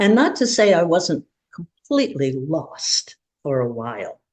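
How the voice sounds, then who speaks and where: A woman talks at a very slow pace in a somewhat breathy, fairly low voice whose pitch swings very widely. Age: 80s. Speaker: podcast guest. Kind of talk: casual chat. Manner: halting.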